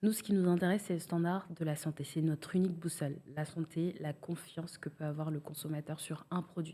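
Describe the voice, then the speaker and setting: A woman talks at a fairly quick pace with hardly any pauses, her somewhat breathy voice held in a monotone, flat intonation. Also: fairly low pitch for a woman. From Senegal. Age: 30s. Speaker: cosmetics brand founder. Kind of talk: podcast interview. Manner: hesitant, many fillers.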